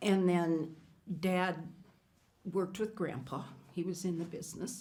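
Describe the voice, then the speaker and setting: With an Upper Midwest accent, the speaker uses a dark, mellow tone and fairly even intonation. The pace is fairly slow, and the room echo is audible. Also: woman, fairly low pitch for a woman. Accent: Upper Midwest American. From western South Dakota (Hot Springs, Lead). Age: 70s. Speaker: former state cabinet official. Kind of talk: oral history interview.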